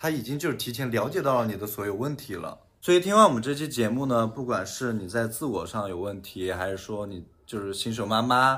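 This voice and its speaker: Medium in pitch and bright, sharp in tone, a man speaks at a fairly quick pace. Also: ordinary pitch variation. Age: 20s. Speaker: podcast co-host. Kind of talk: casual chat.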